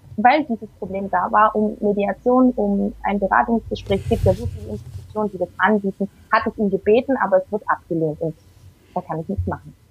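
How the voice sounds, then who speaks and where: Over music in the background, a woman speaks at a medium pitch and moderate pace with ordinary pitch variation, the sound dry and close with no echo. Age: 30s. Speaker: single mother. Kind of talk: interview.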